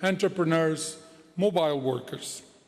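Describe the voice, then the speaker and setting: The speech has a Portuguese accent. Noticeable background noise runs behind it. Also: man. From Portugal. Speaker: head of a financial regulator. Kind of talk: conference speech. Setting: conference hall with audience. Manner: formal.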